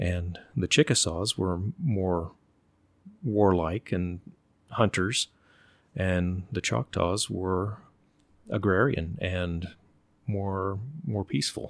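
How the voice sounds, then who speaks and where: A man with an American accent speaks very slowly in a very deep, low voice, leaving long, frequent pauses, on a very clean recording with a silent background. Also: ordinary pitch variation. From Oklahoma, later Virginia. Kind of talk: casual interview conversation. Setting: host's home.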